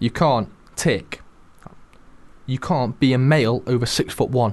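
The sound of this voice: A man speaks at a medium pitch with ordinary variation. His tone is slightly mellow. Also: fairly slow pace.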